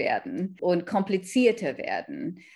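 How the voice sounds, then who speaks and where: A woman talks at a very slow pace. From Kenya, Indian Sikh family. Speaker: author. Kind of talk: interview. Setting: remote call.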